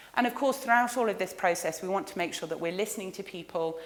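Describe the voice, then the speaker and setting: Audible room echo surrounds a woman's voice. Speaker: research centre director giving a lecture. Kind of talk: lecture. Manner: fast.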